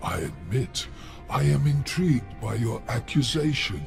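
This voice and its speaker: Clear music plays behind a put-on character voice that moves at a fairly slow pace. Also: man. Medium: video game. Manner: suave, aristocratic.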